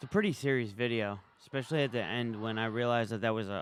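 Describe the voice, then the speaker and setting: This man talks with a New York accent and fairly even intonation. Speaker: live streamer. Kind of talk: casual live stream commentary. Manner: casual, conversational.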